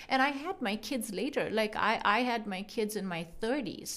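At a fairly slow pace, this is a normal speaking voice with ordinary pitch variation. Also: woman. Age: 40s. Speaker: physician. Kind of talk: interview.

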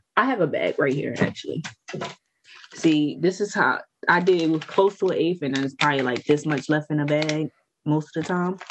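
Someone with an American accent speaks at a moderate pace while music plays in the background. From New Jersey. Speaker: podcast host. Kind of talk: casual banter, stoner podcast chat. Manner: casual, profane, joking.

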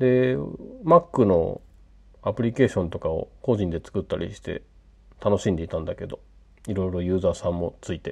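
With long, frequent pauses and a relaxed tone, a man speaks at a moderate pace and a fairly low pitch, his intonation lively. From western Japan (Hyogo, later Fukuoka). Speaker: podcaster and hobby app developer. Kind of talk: casual late-night solo monologue. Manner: halting, many fillers and self-corrections; relaxed, laughing often.

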